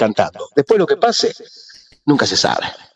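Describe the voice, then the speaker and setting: A man talking very fast. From Argentina, Rosario. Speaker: musician, bandleader. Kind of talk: radio interview.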